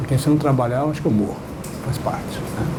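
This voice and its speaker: A man talks at a very fast pace. The room echo is audible, and there is noticeable background noise. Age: 80s+. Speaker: professor. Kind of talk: lecture.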